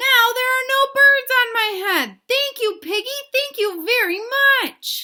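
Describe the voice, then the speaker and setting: A woman squeaks in a put-on character voice at an extremely high pitch. She speaks at a fairly slow pace. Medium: read story. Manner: anxious, fretful.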